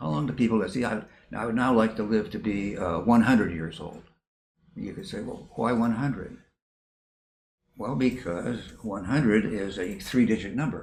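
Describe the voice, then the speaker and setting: A man speaks at a moderate pace with fairly low pitch, ordinary pitch variation and big swings in loudness. Long, frequent pauses break up his speech, and the room echo is audible. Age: 80s+. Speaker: retired professor of counseling psychology. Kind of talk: interview. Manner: repetitive, halting.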